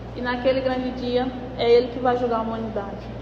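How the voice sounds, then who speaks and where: With noticeable background noise and audible room echo, a woman speaks at a fairly quick pace in a high pitch. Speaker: Sunday school Bible teacher. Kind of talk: Bible study lesson. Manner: fast.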